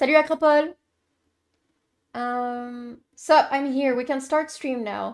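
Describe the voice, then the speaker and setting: A woman with a French Canadian accent at a fairly slow pace. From Quebec. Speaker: streamer. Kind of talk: live gameplay commentary. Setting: live stream.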